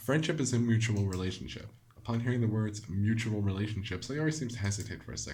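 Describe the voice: The delivery is plain reading aloud. Words come straight off the page.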